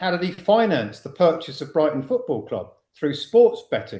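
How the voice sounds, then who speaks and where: A man speaks at a high pitch. His pace is moderate and his intonation lively. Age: 60s. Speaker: financial whistleblower and community founder. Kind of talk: podcast interview. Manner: animated.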